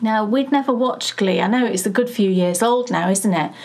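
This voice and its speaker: Against light background noise, a woman speaks with ordinary pitch variation. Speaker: podcast co-host. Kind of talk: casual podcast chat. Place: home room.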